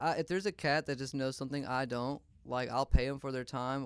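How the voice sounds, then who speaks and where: Speaking very fast with an American accent, a man with a fairly high pitch keeps his intonation fairly even on a very clean recording with a silent background. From US South, northern Louisiana (Shreveport). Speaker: drummer. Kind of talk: casual interview chat. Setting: studio.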